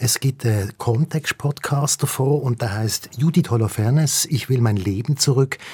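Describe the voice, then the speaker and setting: With a Swiss accent, a man speaks in a somewhat breathy, dark and mellow tone at medium pitch with ordinary pitch variation, the sound dry and close with no echo. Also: moderate pace. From Switzerland. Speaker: radio host. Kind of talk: casual chat.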